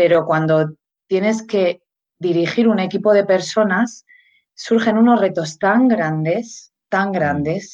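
Fairly slow speech from a woman at a medium pitch. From Spain. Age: 40s. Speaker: mindfulness and leadership consultant. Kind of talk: interview. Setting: live video stream.

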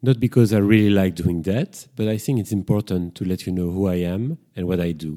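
A French accent with ordinary pitch variation, hardly any pauses, and a dry, close sound with no echo. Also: man, very deep, low pitch for a man. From Brussels, Belgium. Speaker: psychotherapist and podcast host. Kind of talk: solo podcast introduction, casual monologue. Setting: home kitchen with microphone. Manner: slightly hesitant, reflective.

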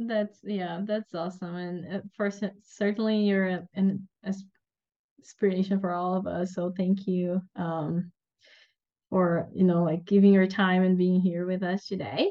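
At a fairly slow pace, a woman of medium pitch speaks with monotone, flat intonation. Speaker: PhD student podcast host. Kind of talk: interview, host introducing guest.

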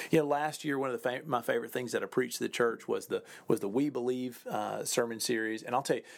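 A man talks in an ordinary speaking voice with a fairly high pitch. His pitch variation is ordinary. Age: 40s. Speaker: pastor. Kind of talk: podcast monologue. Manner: warm, casual with fillers.

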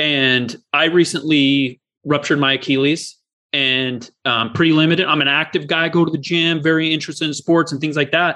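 A man's fairly high voice with an American accent, fairly even intonation and a moderate pace. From US, Oregon-Idaho border. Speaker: podcast host and attorney. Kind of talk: interview.

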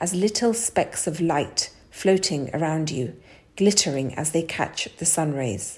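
A woman with a fairly low pitch speaks in a calm, soothing tone that is somewhat breathy, with lively intonation. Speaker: wellness author and meditation guide. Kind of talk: guided meditation. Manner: slow, calm, soothing, gentle pacing with pauses; soft-spoken, warm.

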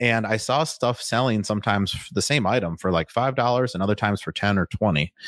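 An unremarkable speaking voice from a man with an American accent, fairly low in pitch and fairly quick, with ordinary pitch variation, on a very clean recording with a silent background. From Wisconsin (Waukesha, near Milwaukee). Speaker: real estate fund founder. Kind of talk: interview.

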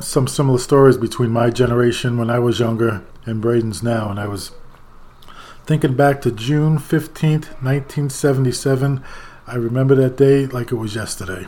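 A man with an American accent at a medium pitch and moderate pace, fairly even in intonation, over noticeable background noise. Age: 60s. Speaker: podcast host, grandfather. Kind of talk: casual chat.

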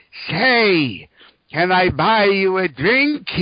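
This is a put-on character voice. It sits at a middle pitch. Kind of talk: friendly, casual.

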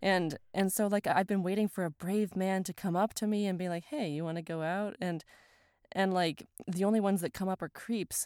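Recorded very cleanly with a silent background and a dry, close sound with no echo, a woman speaks at a moderate pace and medium pitch. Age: 30s. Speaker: podcast co-host. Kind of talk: casual chat. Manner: animated.

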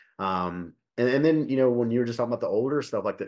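The man talks at a very fast pace with ordinary pitch variation. His background is quiet. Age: 40s. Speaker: podcast host, fitness coach. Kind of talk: casual chat.

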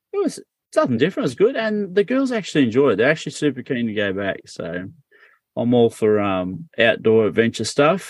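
The background is quiet as a man with an Australian accent talks at a fairly quick pace. His pitch is medium, with very wide pitch swings. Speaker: podcast host. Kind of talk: casual chat.

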